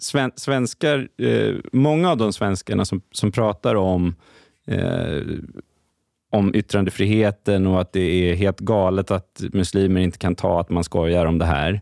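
The speaker uses lively intonation at a fairly slow pace, keeping the loudness very even. The recording is very clean with a silent background and a dry, close sound with no echo. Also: man, very deep, low pitch for a man. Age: 30s. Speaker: journalist. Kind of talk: casual chat.

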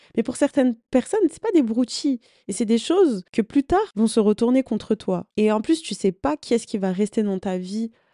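Speaking at a moderate pace, a woman with a fairly high pitch uses lively intonation, the sound dry and close with no echo. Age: 20s. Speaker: podcast host and content creator. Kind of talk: casual solo monologue. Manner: hesitant, many fillers.

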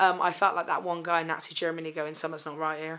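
A woman talks with a fairly low pitch. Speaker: stand-up comedian. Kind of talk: casual chat. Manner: loud.

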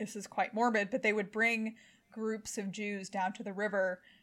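A woman at a fairly high pitch in a monotone, flat intonation, moderate pace, on a very clean recording with a silent background. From US Midwest, Kansas-Missouri border. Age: 20s. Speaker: historian. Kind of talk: casual interview.

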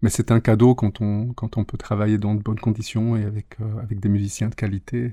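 A man speaks at a fairly quick pace with a fairly low, dark, mellow voice that is somewhat breathy. His intonation stays monotone and flat, and the sound is dry and close with no echo. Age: 50s. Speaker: singer and English teacher. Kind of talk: interview. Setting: studio.

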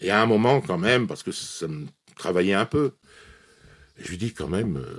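A man at a moderate pace. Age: 60s. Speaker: retired police officer. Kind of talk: interview testimony.

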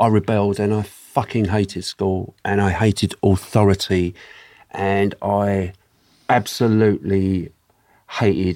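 This very clean recording with a silent background has a man speaking at a fairly low pitch and a fairly slow pace. His tone is dark and mellow, and his intonation is monotone and flat. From London, England. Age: 60s. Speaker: hairstylist. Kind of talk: casual chat.

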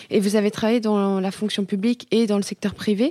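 This woman has a medium pitch and a dark, mellow tone, with ordinary pitch variation at a fairly quick pace. The sound is dry and close with no echo, and the recording is very clean with a silent background. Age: 20s. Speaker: student. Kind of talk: interview questions. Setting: studio, office.

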